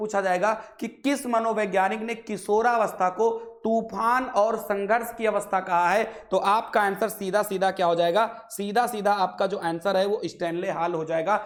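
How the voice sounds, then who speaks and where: A man speaks in a high pitch with fairly even intonation. Noticeable background noise runs underneath. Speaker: online exam-prep teacher. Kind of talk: lecture.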